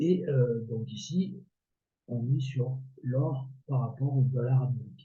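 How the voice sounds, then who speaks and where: A somewhat breathy, dark and mellow tone at a very slow pace, with audible room echo. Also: man, medium pitch for a man, ordinary pitch variation. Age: 60s. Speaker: amateur trader and video creator. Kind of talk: casual tutorial. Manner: hesitant, many filler words.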